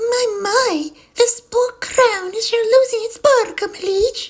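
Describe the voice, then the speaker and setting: Speaking fairly slowly, a woman adopts a put-on character voice. It is squeaky and extremely high in pitch. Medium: read story. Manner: dreamy, gushing.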